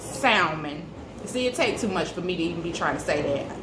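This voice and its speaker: A woman with a Southern US accent speaks with very wide pitch swings, with audible room echo and noticeable background noise. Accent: Southern US, country. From US South, Birmingham, Alabama. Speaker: cooking vlogger. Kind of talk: cooking tutorial. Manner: casual, chatty.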